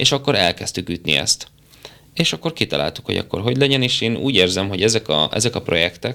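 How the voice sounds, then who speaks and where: A man talks at a very fast pace in a bright, sharp tone with lively intonation. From northeastern Hungary, Borsod county. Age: 30s. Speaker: actor and natural bodybuilder. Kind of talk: casual interview. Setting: studio.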